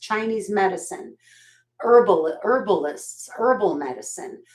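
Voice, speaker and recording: This woman's voice has a warm tone and a fairly high pitch. The recording is very clean, with a silent background. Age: 60s. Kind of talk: live sales stream, casual chat. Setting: live video stream. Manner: warm, chatty.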